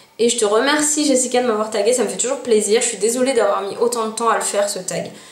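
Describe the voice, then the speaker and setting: Audible room echo and noticeable background noise surround a woman whose intonation stays fairly even. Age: 20s. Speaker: YouTuber. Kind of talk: casual vlog.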